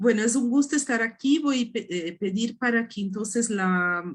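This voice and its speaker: A woman with a Portuguese accent speaks at a fairly slow pace. Her voice is somewhat breathy, with lively intonation. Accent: Portuguese-accented Spanish (portuñol). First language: Portuguese (speaking Spanish). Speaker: art history professor. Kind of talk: academic lecture. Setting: video call. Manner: halting, many hesitations.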